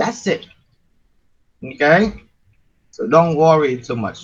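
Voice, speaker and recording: Speaking with a Vietnamese accent, a man uses lively intonation at a fairly high pitch. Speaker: university lecturer. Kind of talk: lecture.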